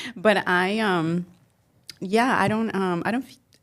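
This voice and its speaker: This woman's voice sits at a medium pitch. Her intonation stays fairly even. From Mexico. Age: 40s. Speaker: entrepreneur and marketer. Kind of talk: podcast interview. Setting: studio.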